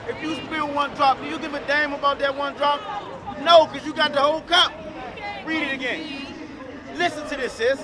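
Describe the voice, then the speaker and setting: Over crowd noise in the background, a man with an extremely high pitch projects a raised voice in a monotone, flat delivery at a moderate pace with long, frequent pauses. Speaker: street preacher. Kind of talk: street preaching. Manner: loud.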